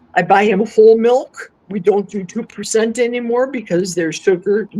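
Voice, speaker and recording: Speaking fairly slowly with an American accent, a woman has a fairly high pitch and a dark, mellow tone. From US Midwest, Milwaukee. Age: 60s. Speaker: carnivore diet guest. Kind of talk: casual interview chat.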